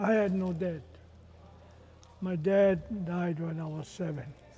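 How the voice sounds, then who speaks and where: A man with a high pitch speaks at a fairly slow pace and with fairly even intonation, his voice carrying audible room echo. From Hawaii, Big Island (Kohala). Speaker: retired basketball coach. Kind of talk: personal storytelling. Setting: community reunion stage with audience.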